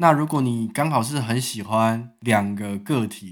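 The recording is very clean, with a silent background. A man speaks at a fairly low pitch with ordinary pitch variation. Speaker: podcast host. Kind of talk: casual chat. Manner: animated.

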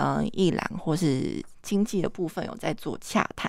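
A woman's fairly low voice with vocal fry, ordinary pitch variation and a fairly slow pace. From Taiwan, Kaohsiung. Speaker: artist. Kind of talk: casual chat. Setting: studio.

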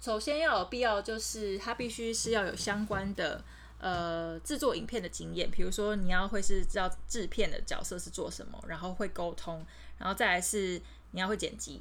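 Speaking at a moderate pace, a woman is heard with audible echo from the room. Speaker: video producer at a tech company. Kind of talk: casual interview.

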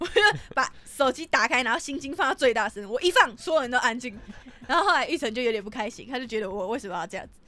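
With a Taiwanese accent, a woman speaks very fast at a high pitch, her tone bright, sharp and animated and her intonation lively. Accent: Taiwanese Mandarin. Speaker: podcast host. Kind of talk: casual chat. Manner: loud.

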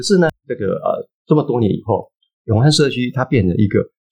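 A somewhat breathy man with lively intonation, at a moderate pace. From eastern Taiwan (Hualien). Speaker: anthropologist and author. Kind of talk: interview. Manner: halting, many filler sounds.

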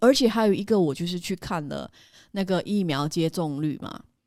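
With a plain, everyday voice, a woman talks at a fairly low pitch with lively intonation, in a very clean recording over a silent background. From Malaysia. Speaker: podcast co-host. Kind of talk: casual chat.

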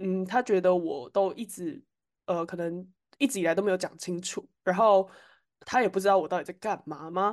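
A woman at a medium pitch and moderate pace, ordinary pitch variation, an ordinary speaking voice, against a quiet background. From Taiwan. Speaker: podcast co-host. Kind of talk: casual chat.

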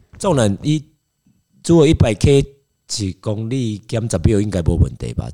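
A dark, mellow tone moves through very wide pitch swings at a fairly slow pace, broken by long, frequent pauses. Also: man, fairly low pitch for a man. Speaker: triathlete. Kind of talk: casual chat. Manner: animated.

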